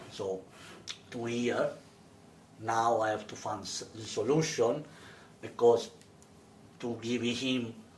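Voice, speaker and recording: A man with an Italian accent speaks at a very slow pace in a medium voice, his intonation fairly even, his loudness swinging widely, with long, frequent pauses and audible room echo. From Italy. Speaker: interviewer. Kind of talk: interview. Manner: halting.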